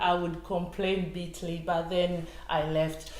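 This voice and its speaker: Recorded with audible room echo and noticeable background noise, a woman at medium pitch speaks fairly slowly. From Tanzania. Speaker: retired civil servant and equality campaigner. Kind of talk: interview.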